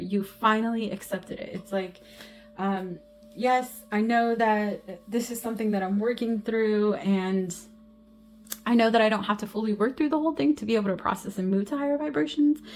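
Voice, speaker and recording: A woman's fairly quick speech at a fairly high pitch, with ordinary pitch variation and music in the background. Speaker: intuitive tarot reader and medium. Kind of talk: spiritual card reading. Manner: halting, stumbling over words.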